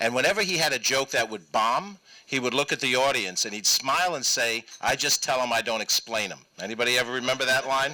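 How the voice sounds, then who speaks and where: A man with a New York accent, medium pitch, ordinary pitch variation and a fairly quick pace. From New York, Westchester County. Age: 60s. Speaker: state senator. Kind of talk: public talk.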